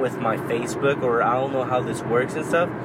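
A man talks with a fairly high pitch. Audible room echo and noticeable background noise fill the recording. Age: 20s. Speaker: podcast host and small business founder. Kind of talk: motivational monologue. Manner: rambling with frequent fillers.

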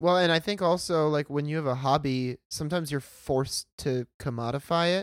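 A normal speaking voice with an American accent, fairly quick with hardly any pauses, ordinary pitch variation and a dry, close sound with no echo. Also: man, fairly high pitch for a man. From US, Pennsylvania (Pittsburgh). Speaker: podcast guest. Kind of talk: casual chat.

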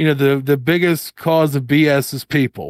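Heard in a dry, close sound with no echo, a plain, everyday voice moves at a moderate pace. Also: man. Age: 30s. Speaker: horror author and podcaster. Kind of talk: casual interview chat.

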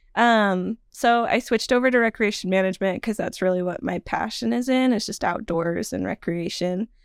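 In a plain, everyday voice, a woman speaks at a moderate pace with hardly any pauses, using a medium pitch with ordinary pitch variation, on a very clean recording with a silent background and a dry, close sound with no echo. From Nevada, US. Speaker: wedding venue consultant. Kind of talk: casual interview.

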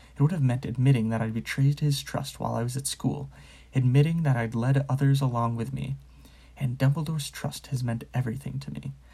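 Somewhat breathy and dark, mellow in tone, a man speaks at a medium pitch and a fairly quick pace with fairly even intonation. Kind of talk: audiobook reading aloud.

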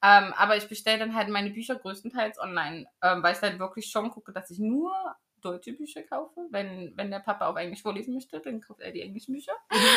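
A woman with an unremarkable speaking voice, medium pitch and lively intonation, fairly quick, with big swings in loudness. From Germany, Magdeburg area (Saxony-Anhalt). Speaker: podcast host. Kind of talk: casual chat.

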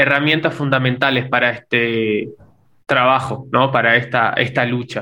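A man's voice, bright and sharp in tone, with monotone, flat intonation. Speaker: podcast co-host, son. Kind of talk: casual conversation. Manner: halting, repeats words.

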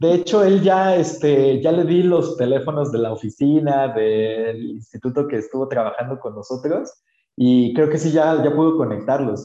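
A man's fairly high, dark and mellow voice in a Mexican accent, at a moderate pace with ordinary pitch variation. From Oaxaca, Mexico. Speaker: social entrepreneur. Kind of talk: casual interview.

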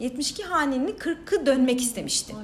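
Through noticeable background noise, a woman speaks at a high pitch. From Diyarbakır, southeastern Turkey. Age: 30s. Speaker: social entrepreneur, founder of a women's cooperative. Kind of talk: casual interview.

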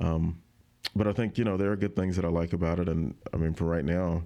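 A man with an Alabama accent speaks at a fairly quick pace in a very deep, low pitch, his tone dark and mellow. His loudness stays very even, his intonation fairly even, over a quiet background. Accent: Alabama Southern US. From rural Alabama, north of Montgomery. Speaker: TV news reporter. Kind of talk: casual interview chat.

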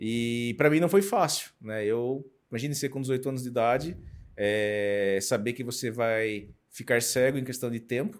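A man with a plain, everyday voice speaks at a medium pitch with ordinary pitch variation, in a very clean recording with a silent background. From Brazil, São Paulo state (Sorocaba). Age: 40s. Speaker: motivational speaker and mentor. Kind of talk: interview, personal story.

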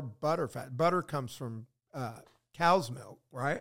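With a plain, everyday voice, a man speaks at a fairly slow pace, pitched fairly high with lively intonation, on a very clean recording with a silent background. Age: 60s. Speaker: podcast host. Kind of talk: casual chat. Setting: studio.

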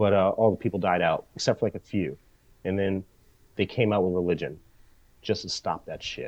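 With an American accent, a man talks at a fairly quick pace and a fairly low pitch, keeping a fairly even intonation. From United States. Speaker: podcast co-host. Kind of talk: casual chat.

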